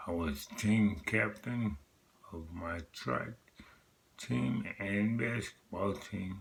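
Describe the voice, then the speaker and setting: Somewhat breathy and fairly low in pitch, a man speaks at a very slow pace with lively intonation. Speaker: vlogger sharing personal health story. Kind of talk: personal testimony vlog. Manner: earnest, motivational.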